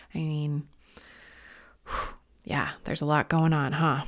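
Very deep and low for a woman, her voice comes with an American accent on a very clean recording with a silent background. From Long Island, New York. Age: 30s. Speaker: spiritual life and business coach. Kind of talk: podcast monologue. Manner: casual and upbeat.

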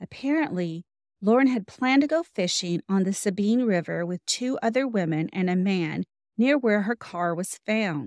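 Speaking in a plain, everyday voice with lively intonation at a moderate pace, this very clean recording has a silent background and a dry, close sound with no echo. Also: woman, medium pitch for a woman. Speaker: podcast host. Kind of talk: true-crime narration. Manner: measured, grave, steady storytelling with occasional wry asides.

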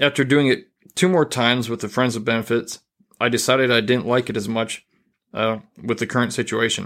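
In a very clean recording with a silent background, a man uses an ordinary speaking voice at medium pitch, talking at a fairly quick pace with fairly even intonation. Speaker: podcast host. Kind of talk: casual podcast chat. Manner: casual, chatty.

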